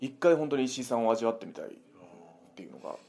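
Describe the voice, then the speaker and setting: A man is speaking. His intonation is lively. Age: 30s. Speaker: pro wrestler. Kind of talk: casual chat. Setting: recorded on a recorder.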